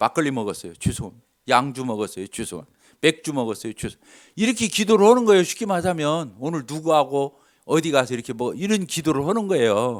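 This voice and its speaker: A man with a fairly high pitch talks in an animated tone at a very fast pace, his pitch swinging very widely, in a very clean recording with a silent background. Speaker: lay preacher giving testimony. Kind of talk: sermon with personal testimony. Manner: animated, conversational.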